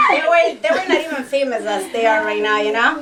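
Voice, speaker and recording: With noticeable background noise and audible room echo, a woman speaks at a high pitch with a slight Spanish accent. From Los Angeles, Salvadoran family. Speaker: TV actress and host. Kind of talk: radio interview.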